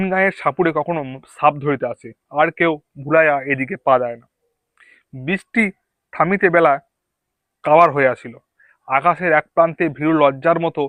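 A man with a normal speaking voice talks in a fairly high register with ordinary pitch variation. The sound is dry and close with no echo, over a quiet background. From West Bengal, Purba Bardhaman. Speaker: YouTuber reading a novel aloud. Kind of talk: reading aloud. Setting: outdoors among green bushes.

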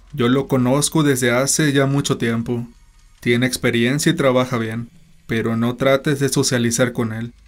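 In a dramatic tone, a man speaks at a medium pitch with fairly even intonation, recorded very cleanly against a silent background. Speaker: horror story narrator. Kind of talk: horror story narration, first-person read-aloud. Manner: suspenseful, dramatic, slow-paced storytelling; grave, tense tone.

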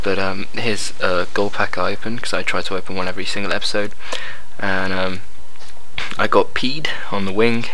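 A normal speaking voice from a man, fairly low in pitch, at a fairly quick pace, with fairly even intonation and light background noise. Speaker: gaming commentator. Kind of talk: video game commentary. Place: home room.

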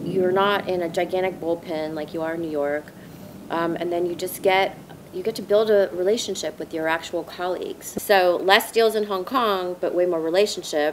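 Against light background noise, a woman with an American accent speaks at a moderate pace with fairly even intonation. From Southern California. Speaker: former investment banker, scholarship fund board member. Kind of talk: interview. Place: garden.

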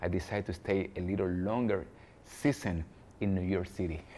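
A man with a Spanish accent speaks at a moderate pace in a dark, mellow tone. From Cuba, Havana; Cuba. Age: young. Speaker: jazz pianist and composer; interviewee. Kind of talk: interview. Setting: cultural centre in Havana. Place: hall. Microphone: lapel.

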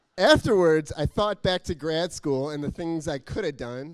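An animated, playful tone over a quiet background. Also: man. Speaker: poet and civic tech volunteer. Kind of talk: spoken-word poem, rhymed verse with a punchline rhythm, performed to an audience. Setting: stage with audience. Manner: animated, playful, comic timing with rhyme and laughter. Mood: humorous, smiling. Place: hall. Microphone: handheld.

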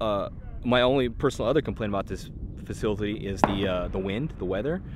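Over noticeable background noise, a man speaks at a very fast pace, the sound dry with no echo. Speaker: range reviewer. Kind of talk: casual vlog chat. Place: open country. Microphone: phone near.

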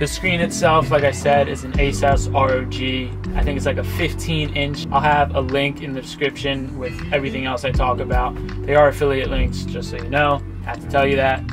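Clear music in the background behind a man's moderate-paced speech. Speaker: van life creator. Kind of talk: tutorial. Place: car.

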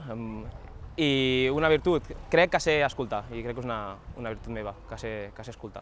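Over light background noise, a man speaks at a fairly quick pace with ordinary pitch variation, big swings in loudness and long, frequent pauses, in a dry sound with no echo. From Catalonia, Molins de Rei; Catalonia. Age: 20s. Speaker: local election candidate; election candidate. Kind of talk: interview answers. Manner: halting, with frequent repetitions. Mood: relaxed, smiling. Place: garden. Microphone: lapel.

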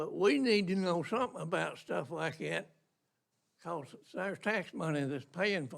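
A man speaks at a moderate pace in a high voice with lively intonation. His loudness swings widely. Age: 80s+. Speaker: local resident speaking at public comment. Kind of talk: public comment at county meeting.

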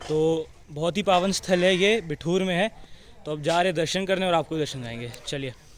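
A high-pitched man at a moderate pace, ordinary pitch variation, dry sound with no echo, light background noise. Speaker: travel vlogger. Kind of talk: casual vlog chat. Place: garden. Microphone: phone near.

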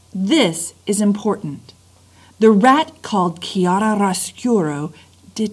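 The voice is a natural reading voice. Pitch variation is ordinary.

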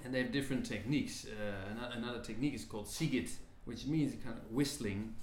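A man talks amid light background noise, with audible room echo around his voice. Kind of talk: interview answer. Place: home room.

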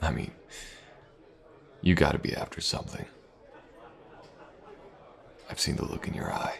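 A man puts on a character voice at an extremely low pitch, with vocal fry, lively intonation and a fairly slow pace.

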